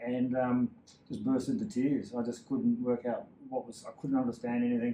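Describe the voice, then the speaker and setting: With an Australian accent, a man speaks at a fairly quick pace in a medium pitch, his tone dark and mellow and his pitch variation ordinary. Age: 60s. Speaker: endurance cyclist. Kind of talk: interview.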